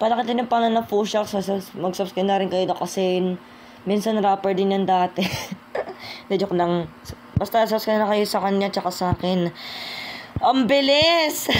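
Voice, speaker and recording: A woman at a medium pitch and fairly quick pace, with long, frequent pauses, very even loudness and noticeable background noise. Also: ordinary pitch variation. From Philippines. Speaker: YouTuber rapper. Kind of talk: casual vlog talk.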